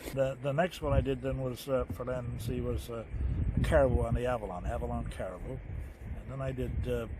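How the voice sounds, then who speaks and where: Amid noticeable background noise, a man talks at a fairly quick pace. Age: 90s. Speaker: retired TV producer and host. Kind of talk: casual chat. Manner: halting.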